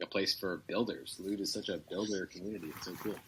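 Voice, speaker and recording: Somewhat breathy and fairly low in pitch, a man talks at a very fast pace. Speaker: community member in an online audio town-hall. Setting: laptop microphone, no studio equipment. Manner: enthusiastic, casual.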